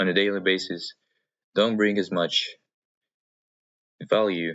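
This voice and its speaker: A man with a fairly low pitch talks at a very slow pace. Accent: Russian. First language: Russian. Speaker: vlogger. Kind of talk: personal vlog monologue. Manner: halting, many fillers and pauses.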